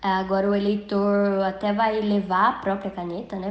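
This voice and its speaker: This is a female speaker at medium pitch. She talks at a moderate speed. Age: 20s. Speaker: journalist and poll worker. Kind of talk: interview testimony.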